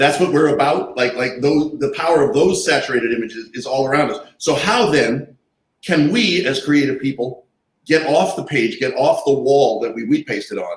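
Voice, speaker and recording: With a fairly high pitch and ordinary pitch variation, a man speaks at a moderate pace in a somewhat breathy voice. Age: 60s. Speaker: artist and activist. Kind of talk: panel discussion.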